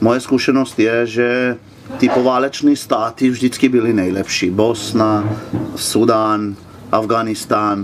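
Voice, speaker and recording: Against noticeable background noise, a man with a Slovene accent speaks very slowly at a medium pitch, in a flat monotone with very even loudness. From Slovenia. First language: Slovene (speaking Czech). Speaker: motorcycle traveller. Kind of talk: interview. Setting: outdoors at a swimming pool.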